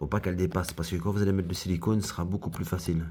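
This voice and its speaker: In a very clean recording with a silent background, a man with a very deep, low pitch speaks at a very fast pace. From Belgium, foreign family background. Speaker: craftsman / DIY youtuber. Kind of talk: tutorial. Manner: casual, hesitant with many fillers.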